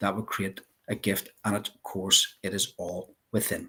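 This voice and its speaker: A man speaks with a Northern Irish accent. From Northern Ireland, Belfast. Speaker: life coach. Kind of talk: interview.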